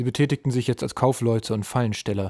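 At a very fast pace, a man with a medium-pitched, dark, mellow voice speaks in a very clean recording with a silent background and a dry, close sound with no echo. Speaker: audiobook narrator. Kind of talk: dramatic audiobook narration, reading aloud. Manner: suspenseful, vividly expressive, shifting to gruff menacing tones for goblin characters.

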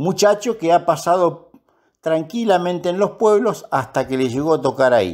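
The man's voice sits high. He keeps to a moderate pace. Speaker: police union spokesman and commentator. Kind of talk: opinion commentary.

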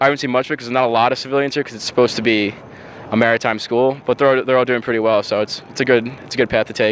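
A man with an American accent at a medium pitch, very fast and monotone with flat intonation, dry sound with no echo, and light background noise. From Long Island, New York; New York. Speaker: college football player and ROTC student. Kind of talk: interview. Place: waterside. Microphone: handheld.

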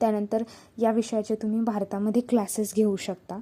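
This woman's pitch sits fairly high. Her tone is dark and mellow. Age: 20s. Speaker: YouTuber and exam aspirant. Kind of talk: advice talk to camera.

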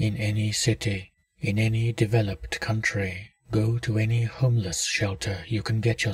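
Against a quiet background, someone reads aloud plainly, keeping the intonation fairly even.

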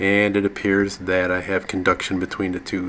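Here a man speaks. There is light background noise. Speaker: hobbyist tractor owner. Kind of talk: tutorial. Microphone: phone near.

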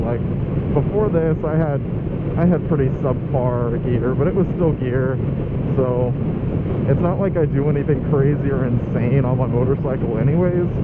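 A man talks at a moderate pace with long, frequent pauses. Loud background noise is present. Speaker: motorcycle vlogger. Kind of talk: casual vlog chat. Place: motorbike.

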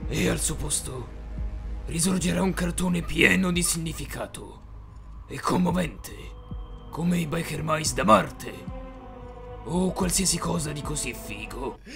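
Using a put-on character voice with a menacing tone, a man speaks at a moderate pace with long, frequent pauses while clear music plays in the background. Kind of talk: parody of gravelly superhero growl. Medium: fan dub. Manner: menacing, contemptuous, melodramatic.

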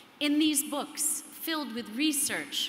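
A woman speaks amid audible room echo and light background noise. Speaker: conference speaker, psychoanalyst. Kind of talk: prepared keynote speech. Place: hall. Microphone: podium.

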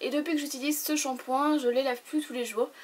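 Her voice sits at a high pitch. The speaker is a woman. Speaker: beauty YouTuber. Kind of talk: product review vlog. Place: home room. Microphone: camera far.

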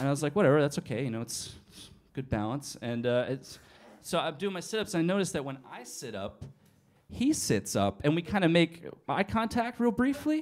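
Speaking with an American accent, a man talks at a fairly quick pace and fairly high pitch. His pitch swings very widely and his loudness shifts a lot, against a quiet background. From New England. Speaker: comedian. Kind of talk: stand-up. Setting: stage with audience. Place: cafe. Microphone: handheld.

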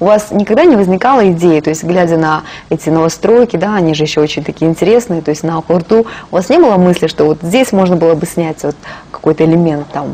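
A woman's fairly low voice at a very fast pace, with ordinary pitch variation. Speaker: TV host. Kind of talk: TV interview. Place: studio.

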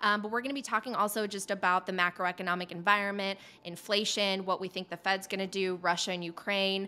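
A woman's medium-pitched voice with a bright, sharp tone, flat monotone intonation, a very fast pace and hardly any pauses. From Poland, raised in Illinois. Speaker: podcast host and former TV journalist; podcast host, former TV journalist. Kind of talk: interview on audio chat. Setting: online audio room. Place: home room. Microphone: studio mic.

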